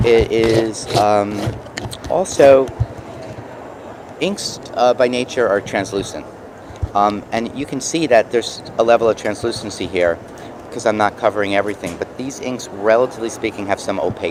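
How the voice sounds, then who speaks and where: Against noticeable background noise, a man with a New York accent talks at a moderate pace with ordinary pitch variation and long, frequent pauses. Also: medium pitch for a man. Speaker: mixed media artist. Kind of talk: product demo. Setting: trade show booth. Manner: casual, halting with fillers.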